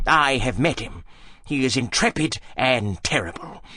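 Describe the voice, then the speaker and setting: A soft-spoken man in a put-on character voice, medium-pitched, at a moderate pace. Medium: audio drama. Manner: cool, soft-spoken.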